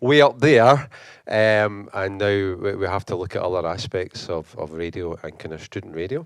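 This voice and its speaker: Lively intonation in a Scottish accent over a quiet background. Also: man. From Scotland, Glasgow. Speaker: university lecturer, conference speaker. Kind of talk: conference talk. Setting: conference hall with audience. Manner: fast; halting, many repetitions.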